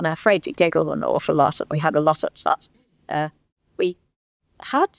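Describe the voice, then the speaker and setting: This woman speaks with a Merseyside accent. The sound is dry and close, with no echo. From northern England, Litherland near Liverpool. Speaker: local history speaker. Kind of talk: reminiscence talk to a society. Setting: hall with live audience. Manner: halting.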